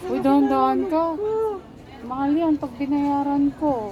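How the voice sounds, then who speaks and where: Music plays in the background and the room echo is audible as a woman speaks at a fairly slow pace. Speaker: vlogger mom. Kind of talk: casual vlog chat. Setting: shopping mall.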